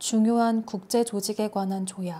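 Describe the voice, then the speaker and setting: Soft-spoken and calm, a woman with a fairly high pitch and a dark, mellow tone talks at a very slow pace with fairly even intonation. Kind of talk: ASMR sleep-aid reading of a national constitution. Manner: soft, gentle, calm.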